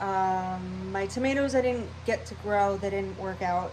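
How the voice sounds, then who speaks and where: At a very slow pace, a woman speaks in a room with audible echo. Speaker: cooking and gardening vlogger. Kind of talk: casual vlog talk. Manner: scattered, rambling.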